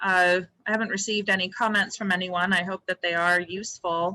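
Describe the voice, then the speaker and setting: This woman's voice sits at a medium pitch and comes through loud. Her tone is bright and sharp. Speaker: land bank board member. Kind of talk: public board meeting report. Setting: public meeting room. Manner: halting, many fillers.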